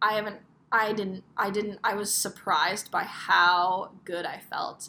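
Her tone is bright and sharp, with vocal fry. The woman's pitch is medium. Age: 20s. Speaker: podcast host. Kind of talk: unscripted personal monologue. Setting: hotel room. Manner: casual, hesitant with fillers.

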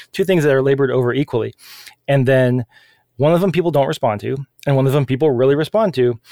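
Speaking very fast with long, frequent pauses, a man uses a dark, mellow tone at a medium pitch, with very even loudness and ordinary pitch variation, in a dry, close sound with no echo. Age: 40s. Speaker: webcomic artist and game developer. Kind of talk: interview.

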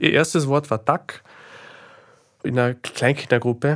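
Fairly even intonation with a Slovenian accent, at a moderate pace, on a very clean recording with a silent background. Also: man. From Austria, Carinthia (Klagenfurt), Carinthian Slovene. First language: Slovene (speaking German). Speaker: author and philosopher. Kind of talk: interview. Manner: halting, many fillers.

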